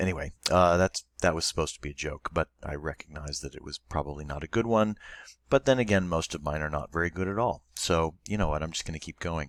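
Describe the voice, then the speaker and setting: Very deep and low in pitch, a man talks at a very fast pace with ordinary pitch variation. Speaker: Latin teacher. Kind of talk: recorded online lesson. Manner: casual, with fillers.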